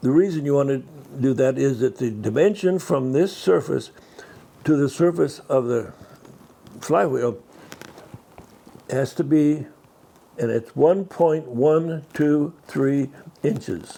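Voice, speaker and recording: Speaking very slowly with long, frequent pauses, a man uses a fairly high pitch. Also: ordinary pitch variation. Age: 90s. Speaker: vintage car mechanic teaching restoration. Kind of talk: hands-on tutorial. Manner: halting, with repeated words and self-corrections. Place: workshop.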